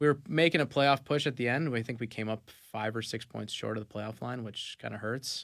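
A man talks at a fairly quick pace with hardly any pauses, his medium pitch showing ordinary variation and some vocal fry. His loudness swings widely in a very clean recording with a silent background. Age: 20s. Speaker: professional soccer player. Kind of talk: casual interview. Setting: radio studio.

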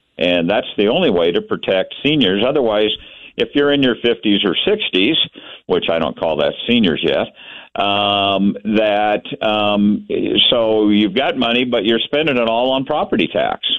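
In a plain, everyday voice, a man with an American accent speaks at medium pitch and a fairly slow pace. His intonation is lively and his loudness very even. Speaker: caller. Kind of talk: casual chat. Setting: phone call.

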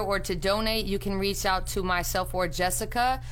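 The voice is a normal speaking voice, with ordinary pitch variation and a moderate pace. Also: woman. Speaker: community event organizer. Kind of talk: event promotion on radio.

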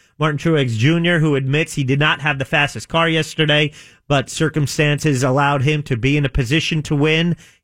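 In a plain, everyday voice, a man speaks at a fairly quick pace with fairly even intonation on a very clean recording with a silent background. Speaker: radio co-host. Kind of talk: casual banter.

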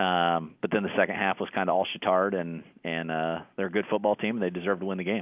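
Speaking very fast with hardly any pauses, this voice has an American accent and a monotone, flat intonation. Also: man, very deep, low pitch for a man. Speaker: high school football coach. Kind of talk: sports interview.

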